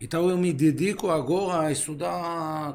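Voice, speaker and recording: Fairly even intonation carries through the speech, with audible room echo. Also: man. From Israel. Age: 50s. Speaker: philosopher. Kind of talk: casual chat. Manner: halting.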